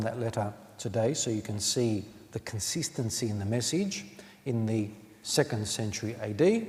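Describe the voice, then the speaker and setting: This is a man with a plain, everyday voice at medium pitch. He speaks at a moderate pace. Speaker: Orthodox priest giving a sermon. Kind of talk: sermon / homily in church. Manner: measured, explanatory, with filler 'um'.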